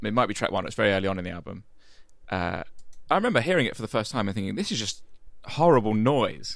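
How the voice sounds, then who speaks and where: Recorded very cleanly against a silent background, a man with a southeast English accent speaks at a fairly quick pace. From southeast England, Medway towns in Kent. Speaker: podcast and radio producer. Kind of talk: casual chat.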